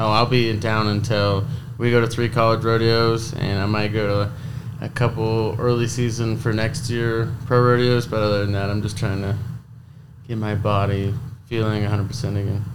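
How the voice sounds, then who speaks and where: Speaking in an American accent at a moderate pace, a man at medium pitch keeps his intonation monotone and flat, with audible room echo. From Idaho. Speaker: college rodeo athlete, bull rider. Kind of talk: casual interview.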